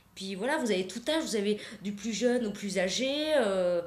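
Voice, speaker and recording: The speech shows ordinary pitch variation, and audible room echo surrounds it. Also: woman. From Alsace. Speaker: painter; guest. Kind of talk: interview. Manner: halting. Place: studio.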